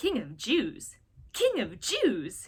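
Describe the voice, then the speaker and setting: Pitched high, the woman's voice is a put-on character voice. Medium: read story. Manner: blustering.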